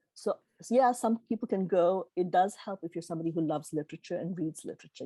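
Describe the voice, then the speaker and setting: Talking at a very fast pace with a Gujarati accent, a woman has a fairly low pitch, ordinary pitch variation and a dark, mellow tone, recorded dry and close with no echo over a quiet background. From Tanzania. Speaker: keynote speaker. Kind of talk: Q&A answers at a virtual meeting.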